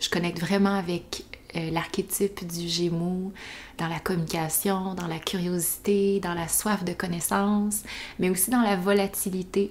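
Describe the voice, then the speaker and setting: A woman with a Quebec accent, medium in pitch, fairly slow and flat, monotone in intonation. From Quebec, east Montreal. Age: 20s. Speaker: podcast host. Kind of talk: casual monologue.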